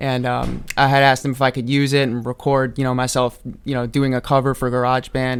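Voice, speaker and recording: Speaking at a fairly quick pace, a man with a New York accent keeps a medium pitch and a monotone, flat intonation. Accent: New York area American. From US Northeast, Hudson Valley New York. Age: 20s. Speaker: medicare office staff and audio engineering student. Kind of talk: radio interview. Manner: many fillers, halting.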